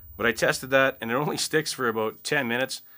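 Noticeable background noise sits behind a man's bright, sharp voice. He talks at a moderate pace with ordinary pitch variation. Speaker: product reviewer. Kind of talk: product review talk. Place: home room.

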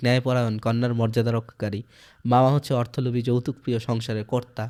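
This man's voice has a dark, mellow tone at medium pitch. The recording is very clean, with a silent background. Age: 20s. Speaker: literature teacher. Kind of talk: lecture.

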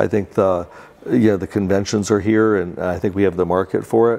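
This man talks at a moderate pace with fairly even intonation and a fairly low pitch. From Central Florida (Winter Park); Central Florida. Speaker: real estate developer. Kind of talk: interview. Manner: halting. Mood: relaxed, friendly. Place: office. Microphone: lapel.

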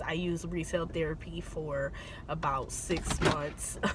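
Heard over light background noise, a woman speaks at a fairly slow pace with a dry sound and no echo. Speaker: beauty vlogger. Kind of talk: casual vlog chat. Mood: supportive, reflective. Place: car. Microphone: phone near.

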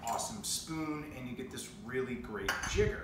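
A man speaks with a fairly high pitch for a man. There is audible room echo and noticeable background noise. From New Hampshire, USA. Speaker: cocktail coach and voice-over artist. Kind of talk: casual talk to camera, cocktail tutorial. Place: home room. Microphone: camera far.

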